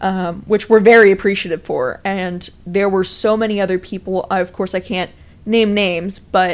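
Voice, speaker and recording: Her intonation fairly even, a woman with medium pitch speaks at a moderate pace. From Texas, Dallas. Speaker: student activist. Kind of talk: interview. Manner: loud.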